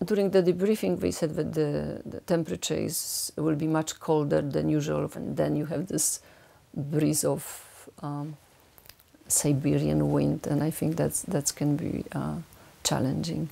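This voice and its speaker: A woman with a Polish accent speaks at a fairly slow pace. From Poland. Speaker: ultramarathon runner. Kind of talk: documentary interview. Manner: halting.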